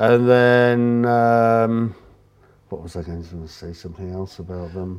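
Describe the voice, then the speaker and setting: A man's fairly low voice with an English accent, very slow pace and ordinary pitch variation. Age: 50s. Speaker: artist and photographer. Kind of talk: casual chat.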